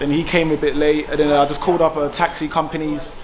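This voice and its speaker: Noticeable background noise runs through the clip. A man speaks fairly quickly. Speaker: travel vlogger. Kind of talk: casual vlog chat. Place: station. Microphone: phone near.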